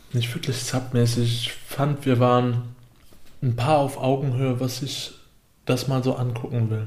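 Audible room echo surrounds a man with a medium-pitched, somewhat breathy voice. He speaks at a fairly slow pace with monotone, flat intonation. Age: 20s. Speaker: podcast co-host. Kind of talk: casual chat.

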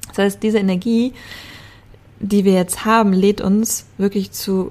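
This woman has a dark, mellow tone at medium pitch. Her intonation stays fairly even. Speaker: spiritual astrology podcaster. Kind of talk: solo podcast monologue. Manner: laughing, interrupted by voice trouble.

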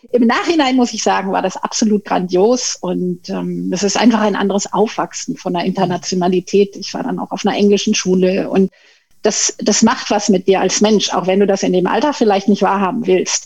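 A woman speaks at a moderate pace in a medium-pitched, somewhat breathy voice with ordinary pitch variation. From Tenerife, Spain (German-speaking upbringing). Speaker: management consultant and pay equity advocate. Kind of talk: podcast interview.

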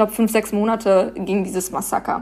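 Moderate-paced speech from a woman, very cleanly recorded against total silence. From Germany, Paderborn. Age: 20s. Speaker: activist. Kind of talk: interview.

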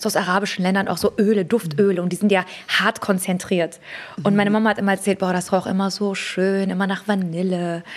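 A woman talks very fast at a medium pitch, her intonation monotone and flat. Noticeable background noise runs under her voice. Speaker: beauty entrepreneur and fragrance creator. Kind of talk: casual interview chat.

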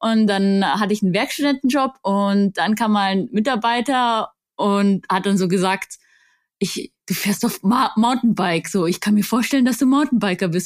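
A woman with an unremarkable speaking voice talks at medium pitch and a moderate pace with ordinary pitch variation, in a very clean recording with a silent background and a dry, close sound with no echo. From Bavaria, Augsburg. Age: 20s. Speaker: mountain bike coach and influencer. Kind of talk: casual interview.

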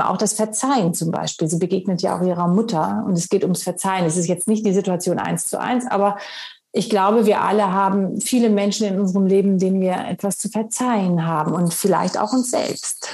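Speaking at a moderate pace with hardly any pauses, a woman has an unremarkable speaking voice, medium pitch and fairly even intonation. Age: 50s. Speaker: actress and author. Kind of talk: interview.

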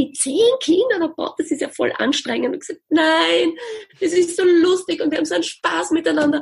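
Very wide pitch swings from a woman, delivered at a moderate pace. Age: 40s. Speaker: music educator and business founder. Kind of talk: interview.

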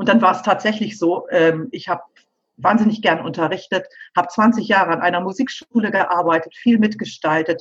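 The woman's voice is medium in pitch and somewhat breathy. She talks at a moderate pace with ordinary pitch variation. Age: 50s. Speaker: pianist and piano teacher. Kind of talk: interview.

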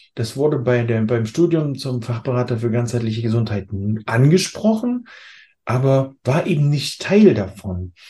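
At a moderate pace, a man speaks in a dark, mellow, somewhat breathy voice of medium pitch with ordinary pitch variation. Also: quiet background. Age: 40s. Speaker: health coach. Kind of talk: interview.

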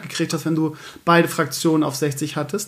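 A man talks in a high-pitched voice. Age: 40s. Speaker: podcast host. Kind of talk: casual chat.

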